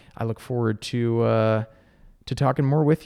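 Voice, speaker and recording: Over a quiet background, a dark, mellow voice moves at a fairly quick pace with ordinary pitch variation. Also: man. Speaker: podcast host. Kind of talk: casual interview. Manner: talkative.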